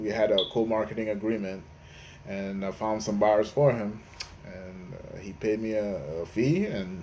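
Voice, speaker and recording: A man speaks at a moderate pace with a fairly low pitch. His tone is dark and mellow, and audible room echo surrounds it. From Nigeria. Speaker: real estate investor. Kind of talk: interview. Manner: halting, many fillers.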